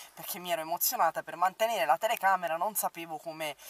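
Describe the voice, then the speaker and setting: This woman's voice sits fairly low and has ordinary pitch variation. The sound is dry, with no echo. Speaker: makeup vlogger. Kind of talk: casual vlog chat. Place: car. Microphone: phone near.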